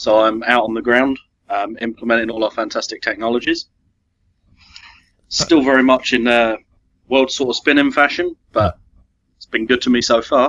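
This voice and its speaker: A man with a British accent talks at a medium pitch and moderate pace. His intonation is fairly even, with long, frequent pauses. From England. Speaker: IT consultant. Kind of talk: casual chat.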